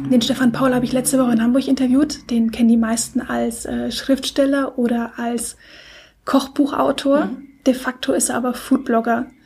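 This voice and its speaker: A woman talks at a moderate pace with a high pitch. Her intonation stays monotone and flat. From Germany, Stuttgart. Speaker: podcast co-host, blogger. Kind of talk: casual chat.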